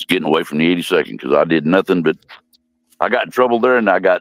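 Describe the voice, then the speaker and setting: Vocal fry and lively intonation with an American accent, in a dry, close sound with no echo. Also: man. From Missouri, St. Louis area. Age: 70s. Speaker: war veteran. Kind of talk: interview.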